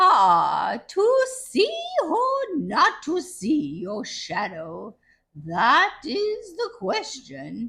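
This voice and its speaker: Someone does a put-on character voice, high-pitched and delivered at a very slow pace. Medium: read story.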